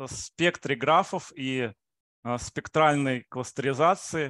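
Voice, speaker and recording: Against a quiet background, a man speaks at a very slow pace in a dry sound with no echo. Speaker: mathematics researcher. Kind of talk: lecture. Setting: video call. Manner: halting, with frequent filler sounds. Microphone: video call.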